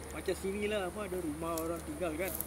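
A man with a high pitch speaks at a moderate pace over noticeable background noise. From Singapore. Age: 70s. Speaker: homeless man. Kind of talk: casual interview answer.

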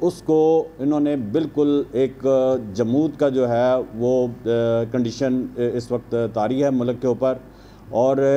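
Over light background noise, a man talks in a monotone, flat delivery. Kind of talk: press conference statement. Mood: complaining, critical of government. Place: meeting room. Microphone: podium.

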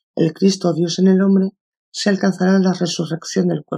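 Somewhat breathy and dark, mellow in tone, a woman with a Castilian accent speaks at medium pitch and a moderate pace, recorded dry and close with no echo. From Spain. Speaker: audiobook narrator. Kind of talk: audiobook reading of a self-help book.

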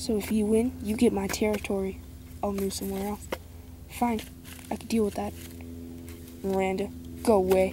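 The sound is dry with no echo, and there is noticeable background noise. A woman talks at a moderate pace. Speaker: toy horse story narrator. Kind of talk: role-play character dialogue. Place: open country. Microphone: phone near.

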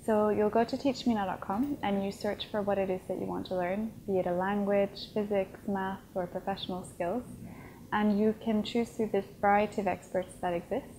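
A woman speaks in a medium pitch with a dark, mellow tone and fairly even intonation. Her pace is moderate over light background noise. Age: 20s. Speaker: tech startup founder. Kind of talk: interview. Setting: conference event. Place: home room. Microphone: lapel.

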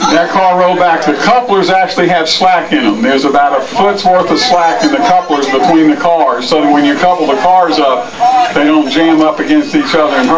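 A man's fairly quick delivery competes with loud background noise. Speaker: tour guide. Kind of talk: explaining to a school group. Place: train. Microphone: camera far.

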